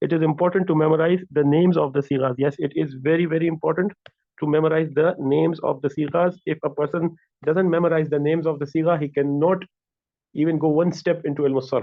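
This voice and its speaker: Very fast and flat in intonation, a man talks in a monotone with very even loudness. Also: fairly high pitch for a man. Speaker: Arabic grammar teacher. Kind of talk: lecture.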